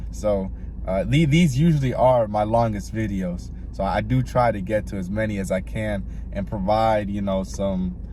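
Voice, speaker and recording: Audible room echo surrounds the recording. A man speaks at a moderate pace. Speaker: music reviewer YouTuber. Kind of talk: casual music reaction review. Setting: in a car. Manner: halting, many fillers and repeats.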